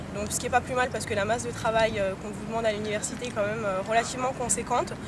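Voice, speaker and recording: A woman talks at a very fast pace with a fairly high pitch and ordinary pitch variation. Audible room echo and noticeable background noise surround her voice. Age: 20s. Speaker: international student. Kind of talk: testimony interview. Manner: hesitant, many fillers.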